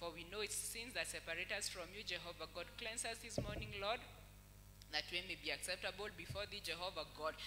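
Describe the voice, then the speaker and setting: There is noticeable background noise behind the speaker. He is a man talking at a fairly quick pace. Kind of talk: spoken prayer. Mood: earnest, devotional. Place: church. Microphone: handheld.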